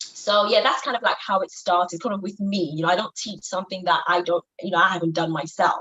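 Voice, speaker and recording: In a Yoruba accent, a woman talks at a fairly quick pace and medium pitch with hardly any pauses and ordinary pitch variation. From Nigeria. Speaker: business coach for women. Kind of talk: interview. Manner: hesitant, many fillers.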